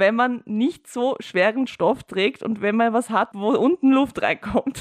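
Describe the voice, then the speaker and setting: Against a quiet background, a woman with a Viennese accent talks fairly slowly at a fairly high pitch, the sound dry and close with no echo. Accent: Viennese Austrian German. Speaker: podcast co-host and producer. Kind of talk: casual chat.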